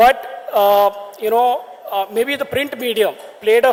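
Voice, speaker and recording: Against noticeable background noise, a man talks at an extremely high pitch with monotone, flat intonation. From India, Kerala. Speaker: sports media entrepreneur. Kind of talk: conference talk.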